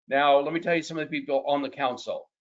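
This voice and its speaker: This is a man with a fairly high pitch. He has a normal speaking voice and ordinary pitch variation. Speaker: mortgage market expert. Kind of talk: webinar presentation. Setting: webinar.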